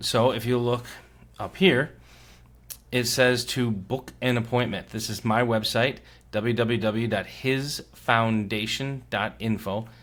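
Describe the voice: Using a put-on character voice, a man with a raspy, medium-pitched sound speaks at a fairly slow pace with fairly even intonation.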